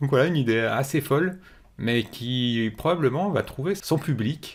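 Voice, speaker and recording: This man's voice sits fairly high, with very even loudness and ordinary pitch variation. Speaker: programming educator, tech news presenter. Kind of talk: tech news commentary with screen walkthrough. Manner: fast; many hesitations and fillers.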